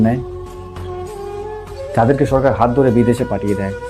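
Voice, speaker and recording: Music plays in the background as a man talks at medium pitch with fairly even intonation. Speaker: motivational speaker. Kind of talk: motivational speech.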